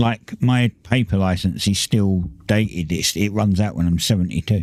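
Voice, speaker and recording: A moderate pace in a British accent, with ordinary pitch variation, very even loudness and a dry, close sound with no echo. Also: man, fairly low pitch for a man. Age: 50s. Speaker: gaming livestreamer. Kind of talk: casual chat. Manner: halting.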